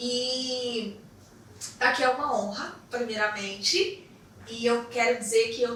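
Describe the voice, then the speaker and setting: With a Brasília accent, a woman speaks at a very slow pace with long, frequent pauses and ordinary pitch variation, over audible room echo and noticeable background noise. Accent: Brazilian Portuguese, Brasília. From Brazil, Brasília (Ceilândia). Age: 30s. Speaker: therapist and influencer. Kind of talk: podcast interview.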